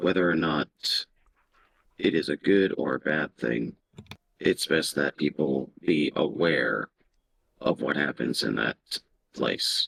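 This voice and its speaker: In a put-on character voice, a man speaks with a very deep, low pitch and a raspy sound at a fairly slow pace, leaving long, frequent pauses. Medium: actual play. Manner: formal, measured, courteous.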